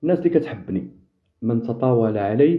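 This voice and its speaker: In a Moroccan accent, a man speaks with ordinary pitch variation. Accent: Moroccan Darija. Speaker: football fan commentator. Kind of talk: live stream chat with viewers. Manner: sharp, impassioned.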